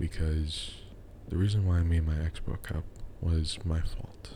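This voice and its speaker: Quiet and somewhat breathy, a man speaks with a dark, mellow tone at a very deep, low pitch in a monotone, flat intonation. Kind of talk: casual talk to camera. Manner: quiet, with pauses.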